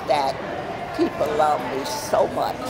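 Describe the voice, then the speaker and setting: A woman with an American accent speaks at a very slow pace over noticeable background noise. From United States. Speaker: birthday honoree. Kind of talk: interview answer. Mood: warm, joyful, emotional. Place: hall. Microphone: handheld.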